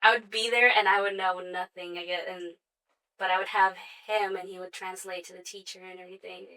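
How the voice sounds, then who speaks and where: A woman with a Spanish accent speaks at a fairly quick pace in a bright, sharp tone, her intonation monotone and flat while her loudness swings widely. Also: medium pitch for a woman. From Sioux Falls, South Dakota, US (born El Salvador, moved at 6). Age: 20s. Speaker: makeup artist and hair stylist. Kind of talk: interview.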